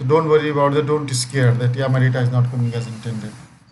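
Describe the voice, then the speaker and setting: A man talks amid noticeable background noise, his voice carrying audible room echo. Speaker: software trainer. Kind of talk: live online training session.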